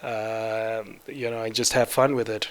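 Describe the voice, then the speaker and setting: A man speaks very slowly with a Zimbabwean accent, at a medium pitch. His intonation is monotone and flat, and there is noticeable background noise. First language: Shona. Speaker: 3D artist. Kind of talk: conference talk.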